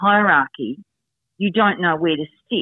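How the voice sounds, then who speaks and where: Speaking in an Australian accent, a woman has a medium pitch and ordinary pitch variation. Her pace is fairly slow. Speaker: negotiation expert and author. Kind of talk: interview.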